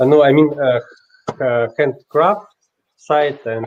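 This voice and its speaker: A man speaks with a Russian accent. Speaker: watchmaker and inventor. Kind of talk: interview answers. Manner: halting, many hesitations.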